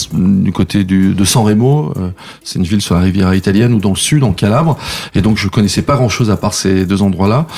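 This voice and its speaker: A man at a fairly low pitch and a fairly quick pace, ordinary pitch variation, against noticeable background noise. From France, Savoie (Saint-Jean-de-Maurienne). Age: 50s. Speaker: show producer and former radio programme director. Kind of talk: interview. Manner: hesitant, many fillers.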